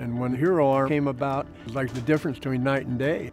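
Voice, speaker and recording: A man speaks with a Pacific Northwest accent and ordinary pitch variation. The sound is dry with no echo, and faint music plays in the background. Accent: Pacific Northwest American English. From Pacific Northwest, USA. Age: 70s. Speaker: prosthetic arm user, hobby woodworker. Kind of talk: testimonial interview answer. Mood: warm, enthusiastic. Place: garden. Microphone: lapel.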